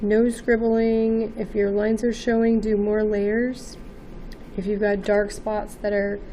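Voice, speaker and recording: A woman's fairly high, monotone voice with flat intonation, a fairly slow pace and audible room echo. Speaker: art teacher. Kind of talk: tutorial. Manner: hesitant, with many fillers.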